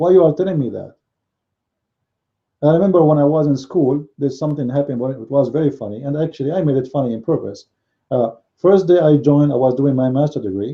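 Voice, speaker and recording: Delivered very fast in a non-native accent, the speech has ordinary pitch variation and long, frequent pauses. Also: man, fairly high pitch for a man. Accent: noticeable foreign. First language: not English. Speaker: religious commentator. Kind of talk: live-stream commentary monologue. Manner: halting, many fillers and repetitions.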